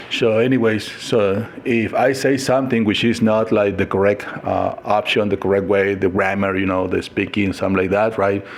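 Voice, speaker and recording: A man with a Mexican accent speaks at a fairly low pitch and moderate pace, with fairly even intonation and very even loudness. Noticeable background noise is present. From Mexico. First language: Spanish. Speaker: lifestyle vlogger. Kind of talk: casual monologue vlog. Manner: halting, many fillers and restarts.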